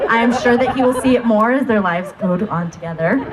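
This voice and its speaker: Speaking at a moderate pace, a woman with a fairly high pitch uses lively intonation while noticeable background noise plays behind her. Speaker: maid of honor. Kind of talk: wedding speech.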